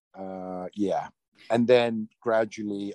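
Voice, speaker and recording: In a British accent, a man speaks at a very slow pace with fairly even intonation, the sound dry and close with no echo. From London, England. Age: 40s. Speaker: actor. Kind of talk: interview. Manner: halting, many fillers.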